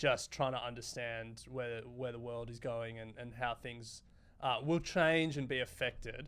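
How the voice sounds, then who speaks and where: In a strong Australian accent, a man speaks at a fairly slow pace with fairly even intonation and big swings in loudness. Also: medium pitch for a man. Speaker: podcast host. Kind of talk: interview.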